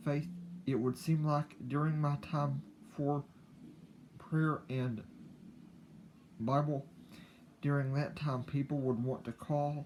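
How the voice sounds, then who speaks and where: A man's fairly high, somewhat breathy voice at a very slow pace, broken by long, frequent pauses. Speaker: YouTuber. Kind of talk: casual personal talk to camera. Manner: halting, repeats words.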